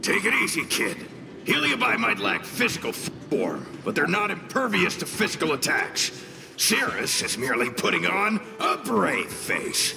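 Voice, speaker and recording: Putting on a character voice at a high pitch, a man talks at a moderate pace over clear background noise. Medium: video game. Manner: relaxed, self-assured.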